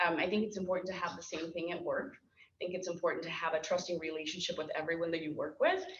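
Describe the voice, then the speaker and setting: Talking at a very fast pace in a fairly low pitch, a woman keeps a monotone, flat intonation over noticeable background noise and audible room echo. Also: hardly any pauses. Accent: Spanish. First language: Spanish. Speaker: program director and school board member. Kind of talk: interview at a lunch talk.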